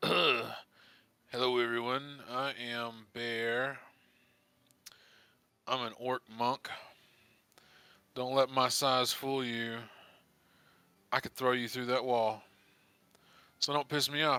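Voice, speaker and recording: Using a gruff, put-on character voice, a man speaks very slowly in a medium pitch with monotone, flat intonation and long, frequent pauses. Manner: menacing, boastful.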